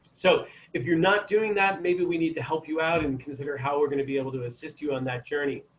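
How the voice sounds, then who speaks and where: With ordinary pitch variation, a man uses an ordinary speaking voice. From Maine, US. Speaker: chiropractor giving health talk. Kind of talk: online health talk. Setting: video call.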